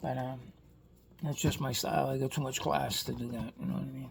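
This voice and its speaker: A man is speaking. He has a Boston accent. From Boston area, Massachusetts. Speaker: toy car collector YouTuber. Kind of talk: casual vlog monologue. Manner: rambling conversational, many fillers.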